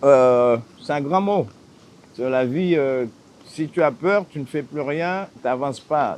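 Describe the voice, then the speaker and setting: Speaking at a very slow pace, this man has a fairly high pitch and ordinary pitch variation. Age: 60s. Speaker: islander living off the land. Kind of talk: interview.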